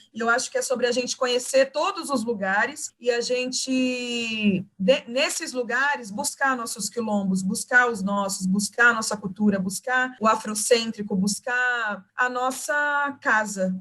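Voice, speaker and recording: The voice has a bright, sharp tone and ordinary pitch variation, moving at a fairly slow pace with hardly any pauses. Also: woman, high pitch for a woman. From Cuiabá, Brazil. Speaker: poet and teacher. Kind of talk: podcast interview answer.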